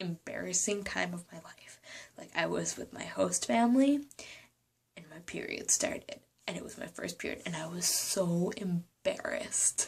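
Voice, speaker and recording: Quietly and at a moderate pace, a woman speaks with big swings in loudness. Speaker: vlogger. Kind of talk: casual vlog talk. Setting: apartment room. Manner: quiet, hushed; hesitant, many ums.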